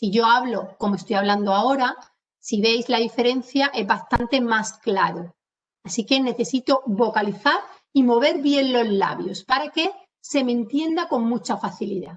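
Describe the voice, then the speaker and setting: A woman with an Andalusian accent, an animated tone and a fairly slow pace. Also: fairly high pitch for a woman, lively intonation. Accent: Andalusian, drops s sounds. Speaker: communication trainer. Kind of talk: webinar lecture. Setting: video call webinar.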